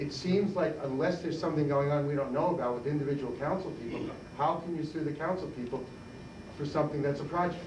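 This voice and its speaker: A man at a very fast pace with fairly even intonation, audible room echo and noticeable background noise. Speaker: audience member asking a question. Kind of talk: audience question at debate. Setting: public library debate, no microphone. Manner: loud. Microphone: speaking without a microphone.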